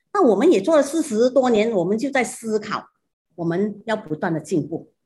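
A woman speaks at a moderate pace with a fairly high, somewhat breathy voice. Her pitch swings very widely. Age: 60s. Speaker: shoemaker, business co-founder. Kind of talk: interview.

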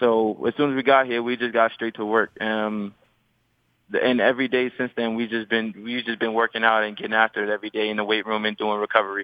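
Speaking at a very fast pace, a man with an American accent keeps a monotone, flat intonation. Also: medium pitch for a man. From New York City (Queens). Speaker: professional basketball player. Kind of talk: radio interview.

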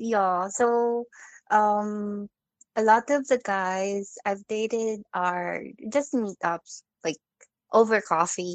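Soft-spoken and at a very slow pace, a woman uses a medium pitch with ordinary pitch variation and long, frequent pauses, in a dry, close sound with no echo against a quiet background. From Philippines. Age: 30s. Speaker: caller. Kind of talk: phone-in advice conversation. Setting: phone call. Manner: hesitant.

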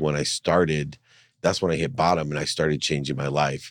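On a very clean recording with a silent background, a man with vocal fry and a very deep, low pitch talks at a fairly quick pace with ordinary pitch variation. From San Diego, California (moved from Ohio as a child). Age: 50s. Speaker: entrepreneur and motivational speaker. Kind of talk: interview conversation. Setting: studio.

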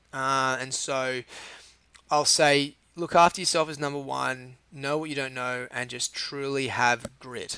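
With an Australian accent, a man talks at a moderate pace and medium pitch in a dry, close sound with no echo. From Australia, Sydney Northern Beaches. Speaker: chef and restaurant owner. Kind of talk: casual interview.

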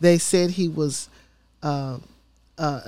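On a very clean recording with a silent background, this woman's pitch varies in an ordinary way. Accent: Tennessee. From Memphis, Tennessee. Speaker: mayoral candidate and city council member. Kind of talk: interview. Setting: studio.

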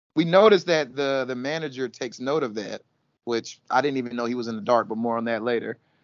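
His pitch sits in the medium range and varies in an ordinary way. The man speaks very fast. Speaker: podcast co-host. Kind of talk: casual banter, reality TV recap. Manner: animated, laughing.

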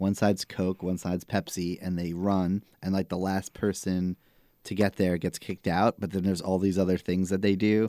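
A man with a Staten Island accent, a very deep, low pitch and a dark, mellow tone at a moderate pace, on a very clean recording with a silent background and a dry, close sound with no echo. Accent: Staten Island New York. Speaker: podcast co-host. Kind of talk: casual chat.

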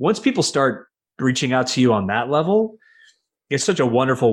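This man has an unremarkable speaking voice at a medium pitch. He talks at a fairly quick pace in a very clean recording with a silent background. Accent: American. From New York. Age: 30s. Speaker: commercial real estate investor, former lawyer. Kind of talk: interview.

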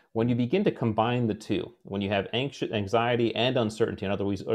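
A man speaks in a plain, everyday voice at a medium pitch. His intonation is fairly even against a quiet background. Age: 40s. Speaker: former special forces officer and leadership author. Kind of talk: interview.

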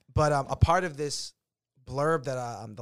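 This man talks at a moderate pace with ordinary pitch variation. The recording is very clean, with a silent background. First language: not English. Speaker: podcast host about DJ culture and nightlife. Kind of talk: casual chat. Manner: many fillers like um and like.

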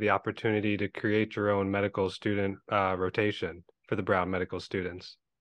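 Here is a man with a normal speaking voice and a fairly low pitch. He talks at a moderate pace. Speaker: podcast host, anesthesiology resident. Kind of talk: casual interview.

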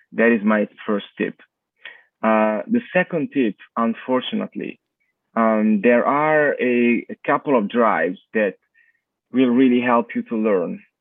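Long, frequent pauses break up this man's speech. He talks at a fairly slow pace with an Italian accent. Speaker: university lecturer. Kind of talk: interview. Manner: halting.

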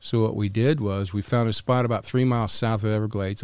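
A man speaks in an unremarkable speaking voice, fairly low-pitched and with an American accent and fairly even intonation. The recording is very clean with a silent background and a dry, close sound with no echo. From North Carolina. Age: 60s. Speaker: former smuggler. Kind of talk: interview storytelling. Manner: casual, profane.

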